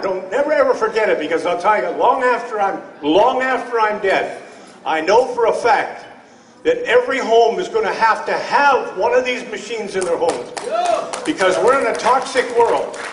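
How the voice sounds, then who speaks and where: An animated man with an extremely high pitch and ordinary pitch variation talks at a moderate pace, with audible room echo and noticeable background noise. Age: 70s. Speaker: testimonial speaker at a health product event. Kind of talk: personal testimony. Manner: halting, with repetitions.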